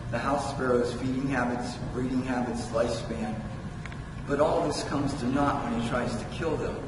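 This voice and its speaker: A man talks at a moderate pace with fairly even intonation. Noticeable background noise and audible room echo fill the recording. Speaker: poet. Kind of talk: poet reading own prose poem aloud, measured, with wry asides. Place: hall.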